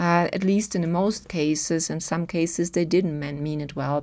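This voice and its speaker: The voice has a dark, mellow tone. It moves at a moderate pace with fairly even intonation. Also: woman. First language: German. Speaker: human design teacher. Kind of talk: video talk to camera.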